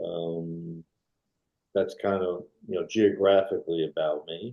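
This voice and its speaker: Mumbling at a fairly slow pace, a man talks with a New York accent. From New York, Brooklyn. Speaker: retired film still photographer. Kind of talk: interview.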